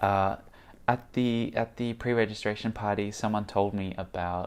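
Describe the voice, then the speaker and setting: A man speaks with an American accent at a fairly slow pace. His pitch is fairly low. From Australia. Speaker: VR podcaster and vlogger. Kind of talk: vlog monologue. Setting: on location at a tech conference. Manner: halting, many fillers.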